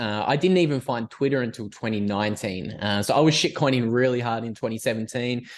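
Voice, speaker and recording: Fairly quick male speech with an Australian accent. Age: 20s. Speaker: podcaster and writer. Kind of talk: casual interview.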